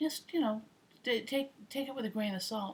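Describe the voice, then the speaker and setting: The voice is somewhat breathy and carries lively intonation. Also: woman. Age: 50s. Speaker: retired air traffic controller. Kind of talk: casual talk to camera.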